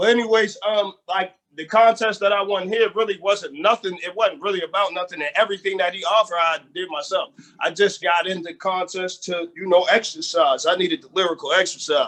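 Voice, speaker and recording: With a strong Southern US accent, the speaker goes at a fairly quick pace. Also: man, high pitch for a man, ordinary pitch variation. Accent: strong Southern-tinged accent, called country. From Erie, Pennsylvania. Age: 30s. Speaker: rapper and producer. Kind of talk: casual interview.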